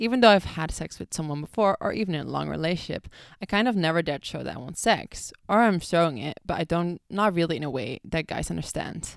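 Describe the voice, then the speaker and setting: In a very clean recording with a silent background and a dry, close sound with no echo, a woman with a Dutch accent and a fairly low pitch speaks very fast with lively intonation. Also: hardly any pauses, big swings in loudness. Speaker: podcast host. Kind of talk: casual solo podcast chat. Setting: bathroom, recording on laptop. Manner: casual, chatty, filler-heavy.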